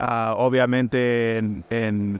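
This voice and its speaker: The speaker is a man. His voice sounds dry, with no echo. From Puerto Rico. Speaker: food company executive. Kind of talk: interview. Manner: halting, with many fillers. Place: booth. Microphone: studio mic.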